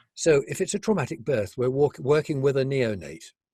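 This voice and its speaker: A man's medium-pitched, somewhat breathy voice with lively intonation at a moderate pace, on a very clean recording with a silent background. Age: 70s. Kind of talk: interview.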